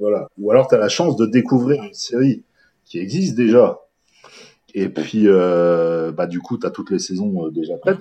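A man speaks at a moderate pace with a dark, mellow tone and fairly low pitch. His pitch swings very widely, and his loudness rises and falls by big amounts. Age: 40s. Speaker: horror book reviewer and festival organizer. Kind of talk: interview. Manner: halting.

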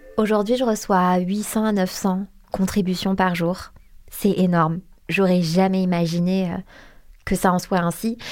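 A woman's monotone, flat delivery at a fairly slow pace, broken by long, frequent pauses. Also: medium pitch for a woman, very even loudness. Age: 20s. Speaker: Instagram account founder. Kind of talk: interview testimony.

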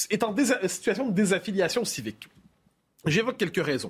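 A man speaks with an animated tone. His voice is high. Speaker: political editorialist. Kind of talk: panel discussion on current affairs.

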